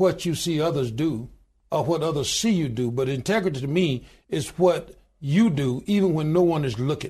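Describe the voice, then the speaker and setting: Against a quiet background, a man with a Southern US accent speaks at a moderate pace in a fairly high, somewhat breathy voice with lively intonation. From US Deep South, Alabama. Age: 60s. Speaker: union president and pastor. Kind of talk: interview.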